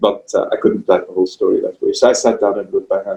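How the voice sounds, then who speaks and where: Talking at a fairly quick pace, a man speaks with a Pakistani accent. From Pakistan, Karachi. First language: Urdu. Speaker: writer. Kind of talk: interview. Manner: halting.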